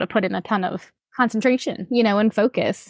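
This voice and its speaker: A woman's fairly high pitch at a fairly quick pace, a plain, everyday voice. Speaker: podcast host. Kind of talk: casual interview chat. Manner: friendly, upbeat.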